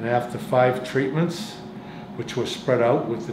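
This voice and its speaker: A man's medium-pitched voice comes through audible room echo and noticeable background noise. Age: 70s. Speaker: cancer patient. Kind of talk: testimony. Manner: halting.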